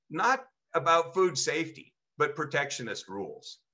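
A man delivers the words at a fairly slow pace and a high pitch. His tone is passionate and animated. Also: quiet background. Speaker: state farmers union president; panelist. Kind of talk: panel presentation. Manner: passionate, animated. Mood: passionate, indignant. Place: home room. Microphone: video call.

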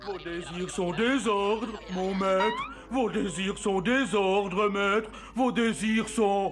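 Clear music plays behind a put-on character voice pitched fairly high. The delivery is very slow. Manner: obsequious, dramatic.

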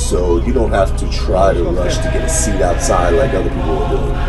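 A man at a moderate pace over clear background music. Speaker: family travel vlogger. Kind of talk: casual vlog chat. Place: boat. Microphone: phone near.

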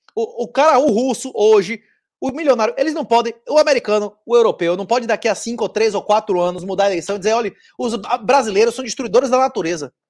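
This man talks at an extremely high pitch with ordinary pitch variation against a quiet background. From Brazil, Salvador (Bahia). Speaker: author and bitcoin commentator; bitcoin commentator. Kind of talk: interview conversation. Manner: fast, dense. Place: home room. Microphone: earbuds.

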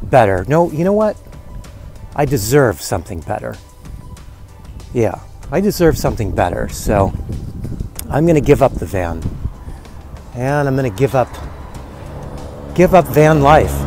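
Faint music plays in the background of a dry recording with no echo. A man speaks at a moderate pace with long, frequent pauses. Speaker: van dweller vlogger. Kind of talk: casual vlog chat. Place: open country. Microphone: earbuds.

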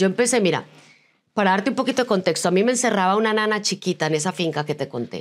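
Very fast and animated, a woman speaks at a medium pitch with lively intonation. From Colombia, Medellín. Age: 50s. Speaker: business coach and speaker. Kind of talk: interview. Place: studio.

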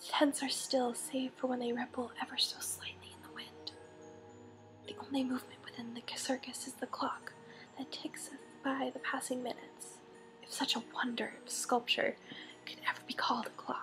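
Over music in the background, a woman whispers in a calm, soothing tone. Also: moderate pace, big swings in loudness. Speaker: ASMR creator. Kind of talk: audiobook-style reading of a novel excerpt. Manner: whispered, calm, soothing.

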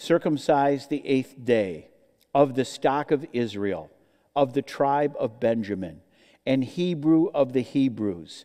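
A man speaks at a fairly slow pace in a dark, mellow tone with ordinary pitch variation. The background is quiet. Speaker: preacher teaching scripture. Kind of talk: sermon. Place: church. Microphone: headset.

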